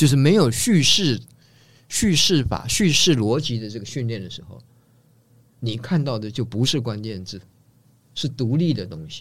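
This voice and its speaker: A man speaks at a moderate pace with lively intonation and a somewhat breathy voice. Long pauses come often in a very clean recording with a silent background. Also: medium pitch for a man, big swings in loudness. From Taiwan, family from northeast China. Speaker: design professor. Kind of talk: casual interview.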